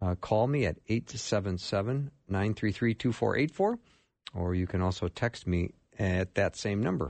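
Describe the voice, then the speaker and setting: This man has a fairly low-pitched voice. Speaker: radio host. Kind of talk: radio call-in show. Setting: studio.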